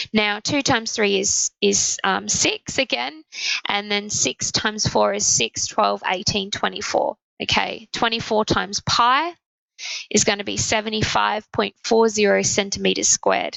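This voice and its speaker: A woman speaks at a fairly slow pace with an Australian accent. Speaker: maths teacher. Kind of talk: tutorial. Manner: halting.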